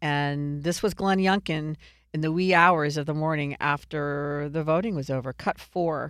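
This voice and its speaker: A woman talks with a very deep, low pitch. The recording is very clean, with a silent background. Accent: American. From Virginia. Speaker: political podcast host. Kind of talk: casual political commentary.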